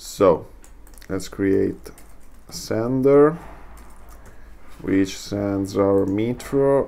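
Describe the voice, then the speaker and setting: With a non-native accent, the speaker goes at a very slow pace, leaving long, frequent pauses. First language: not English. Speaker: software tutorial creator. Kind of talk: tutorial. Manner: halting, many fillers.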